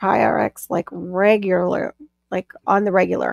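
A woman speaks in an animated tone. The sound is dry with no echo, over a quiet background. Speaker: livestream host; live stream host. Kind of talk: casual chat. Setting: live stream video call. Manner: rambling, animated. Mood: relaxed, friendly. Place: home room. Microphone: video call.

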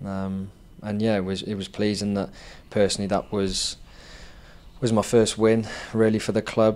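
This man has a fairly low pitch. His intonation is flat and monotone. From Wales. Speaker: professional footballer; guest. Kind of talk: interview. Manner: halting, many fillers. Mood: relaxed, modest. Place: studio. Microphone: handheld.

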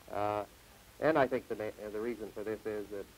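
The speaker talks at a fairly quick pace in a western Canadian accent. Light background noise can be heard. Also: man. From Canada, Saskatchewan. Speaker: farm union leader and grain farmer. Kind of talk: TV interview. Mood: earnest, measured. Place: studio. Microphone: lapel.

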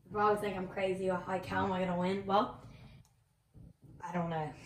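With audible room echo, a woman speaks at a medium pitch. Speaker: gaming youtuber. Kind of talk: gameplay commentary. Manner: halting.

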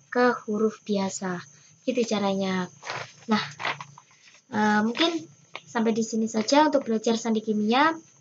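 A somewhat breathy woman, long, frequent pauses, light background noise. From Indonesia. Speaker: scout instructor. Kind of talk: tutorial. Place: home room. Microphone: webcam.

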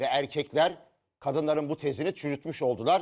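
Animated in tone, a man talks at a fairly quick pace in a fairly high pitch with ordinary pitch variation. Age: 60s. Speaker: TV panelist. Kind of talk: studio panel discussion.

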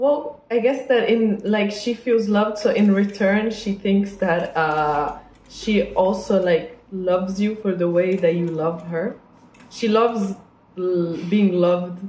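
A woman at medium pitch with an Italian accent, very slow pace and ordinary pitch variation, plus audible room echo. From northern Italy. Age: 20s. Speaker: salon client. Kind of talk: casual chat. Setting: hair salon. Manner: animated; laughs often. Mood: relaxed, cheerful. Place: shop.

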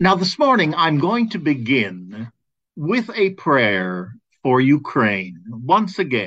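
Speaking at a very slow pace, a man is heard over a quiet background. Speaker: caregiving advocate and host. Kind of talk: fervent prayer. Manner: solemn, heartfelt, measured. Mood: calm, solemn, gentle. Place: home room. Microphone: webcam.

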